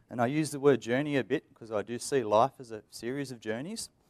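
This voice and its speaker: A man's fairly high voice with lively intonation at a moderate pace, the sound dry and close with no echo, on a very clean recording against a silent background. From Australia. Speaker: IT engineer, conference speaker. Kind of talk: conference presentation.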